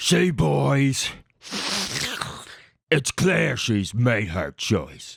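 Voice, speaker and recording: A man in a put-on character voice, growling at a fairly low pitch with very wide pitch swings, very slow pace, and long, frequent pauses. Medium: audio drama. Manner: crude, boastful.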